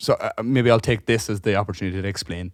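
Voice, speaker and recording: Fairly quick speech from a man with a Cork accent, ordinary pitch variation, and a very clean recording with a silent background. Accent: Cork Irish. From Ireland, Cork. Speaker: podcast co-host and gigging musician. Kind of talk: casual chat, storytelling. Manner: animated; halting.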